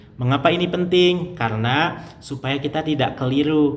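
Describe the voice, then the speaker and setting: A man talks in a somewhat breathy voice. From Indonesia, West Java (Garut). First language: Sundanese (speaking Indonesian). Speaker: language teacher, YouTuber. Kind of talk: tutorial.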